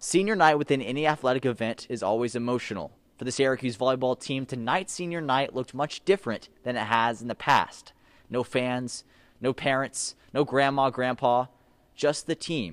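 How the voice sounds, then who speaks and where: A man's normal speaking voice at medium pitch, with ordinary pitch variation, a moderate pace and a dry, close sound with no echo. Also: very clean recording, silent background. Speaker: sports broadcaster. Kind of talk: sports news anchor report.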